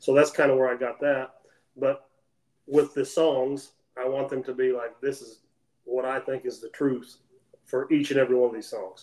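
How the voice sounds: A man speaks at a moderate pace in an American accent, his pitch medium with little movement. His tone is slightly mellow.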